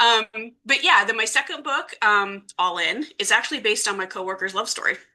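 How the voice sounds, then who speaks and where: A woman with a Midwestern accent talks at a fairly quick pace, her fairly high pitch carried by lively intonation. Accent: US Midwest (Ohio). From Ohio, Youngstown area. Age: 40s. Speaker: romance author. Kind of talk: interview.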